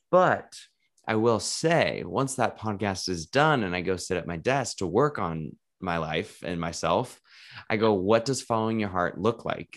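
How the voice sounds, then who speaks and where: A man's fairly low-pitched voice with lively intonation, at a fairly slow pace. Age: 20s. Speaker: podcast host. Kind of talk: casual interview. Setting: video call. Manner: animated.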